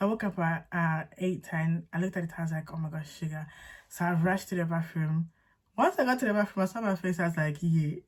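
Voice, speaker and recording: A woman speaks very fast in a fairly low voice. Her delivery is somewhat breathy, with ordinary pitch variation. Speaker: faith and lifestyle vlogger. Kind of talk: testimony story time. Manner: casual, chatty.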